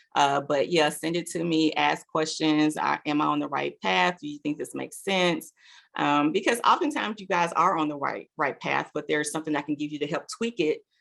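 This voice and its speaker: Moving at a fairly quick pace, a woman talks with hardly any pauses. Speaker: foundation grant manager. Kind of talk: webinar presentation with Q&A. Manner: fast.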